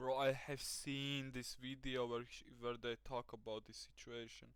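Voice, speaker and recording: A man speaks with a Latvian accent at a medium pitch. His pace is fairly slow. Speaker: reaction streamer. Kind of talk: live reaction commentary. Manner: animated.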